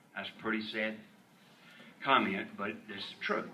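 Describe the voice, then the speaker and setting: Speaking at a moderate pace, a man is heard over noticeable background noise with audible room echo. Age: 70s. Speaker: member of the public testifying at hearing. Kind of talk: public hearing testimony. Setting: state senate hearing room. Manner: halting, repeats words.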